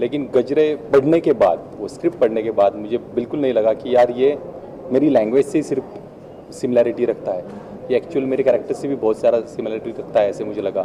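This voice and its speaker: Over noticeable background noise, a man with a Marathi accent talks at a moderate pace. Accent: Marathi-tinged Hindi. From Maharashtra, Bhor near Pune. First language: Marathi (speaking Hindi). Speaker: actor. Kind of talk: press event interview. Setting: trailer launch event.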